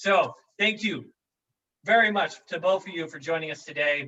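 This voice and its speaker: Pitch varies in an ordinary way, and the pace stays moderate. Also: man. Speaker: company video show host. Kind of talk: casual company video show. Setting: office conference room. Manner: loud; animated.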